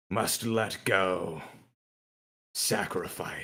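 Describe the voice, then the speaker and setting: A man puts on a character voice that is raspy. His pitch sits fairly low. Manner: slow.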